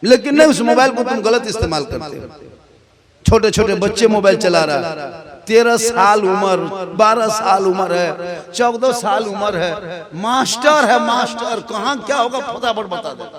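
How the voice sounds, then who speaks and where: Noticeable background noise sits behind this recording. A man speaks in a high voice with ordinary pitch variation. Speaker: Islamic preacher. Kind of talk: religious sermon. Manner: humorous.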